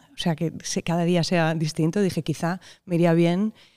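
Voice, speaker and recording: This woman's fairly low pitch and dark, mellow tone sit on a very clean recording with a silent background. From Spain, Barcelona (Catalonia). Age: 30s. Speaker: composer. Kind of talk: interview. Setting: hall, in person. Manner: halting, with repeated words.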